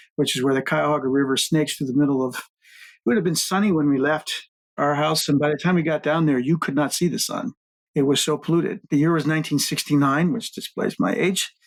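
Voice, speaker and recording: A man with an American accent talks at a very fast pace with ordinary pitch variation. The recording is very clean, with a silent background. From US Midwest, Cleveland Ohio. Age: 60s. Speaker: water utility executive and founder. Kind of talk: interview storytelling.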